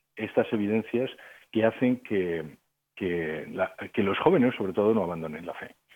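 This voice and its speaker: A man at a moderate pace, an ordinary speaking voice, ordinary pitch variation. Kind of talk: radio interview.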